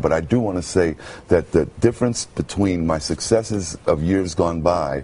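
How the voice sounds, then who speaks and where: A man with an American accent speaks in a very deep, low pitch at a moderate pace, his loudness very even. Noticeable background noise runs under the recording. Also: ordinary pitch variation. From Brooklyn, New York. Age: 50s. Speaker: radio announcer. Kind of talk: TV interview answer.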